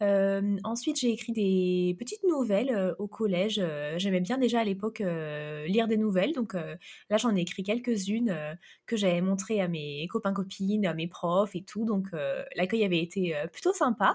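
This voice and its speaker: A woman with an ordinary speaking voice of medium pitch speaks at a fairly slow pace, using ordinary pitch variation. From France. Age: 30s. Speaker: fantasy novelist. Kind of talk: interview.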